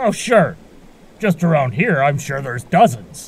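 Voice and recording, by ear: Using a put-on character voice, a man speaks fairly slowly at a fairly high pitch with big pitch swings, vocal fry and a slightly husky edge.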